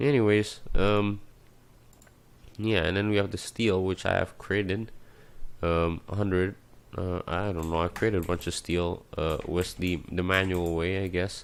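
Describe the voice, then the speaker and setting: Very deep and low, a man's voice moves at a fairly slow pace with fairly even intonation. He leaves long, frequent pauses. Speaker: gaming YouTuber. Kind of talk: gameplay commentary. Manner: hesitant, many fillers.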